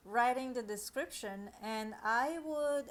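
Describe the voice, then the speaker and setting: Her pitch fairly high, a woman talks with a non-native accent. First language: not English. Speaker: online reseller and tutorial creator. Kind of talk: tutorial. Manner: hesitant, with fillers.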